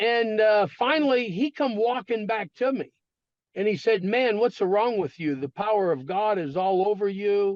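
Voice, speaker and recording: This man's voice sits high in pitch, with lively intonation and a moderate pace. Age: 60s. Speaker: minister and founder of children's charity. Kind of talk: interview storytelling. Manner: hesitant fillers, frequent uh.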